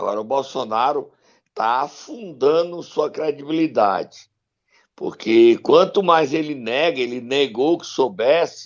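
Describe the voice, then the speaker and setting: The speaker goes at a fairly slow pace with lively intonation. Loudness swings widely from moment to moment. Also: man, fairly high pitch for a man. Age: 60s. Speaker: political commentator. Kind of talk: casual chat. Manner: animated.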